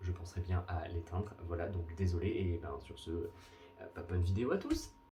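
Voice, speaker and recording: A man speaks at a fairly slow pace in a very deep, low pitch. His voice is somewhat breathy. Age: 20s. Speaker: booktuber. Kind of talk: casual vlog.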